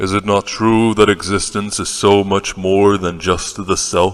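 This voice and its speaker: Putting on a character voice, a man speaks at a fairly low pitch with monotone, flat intonation. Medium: audio drama. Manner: formal, earnest.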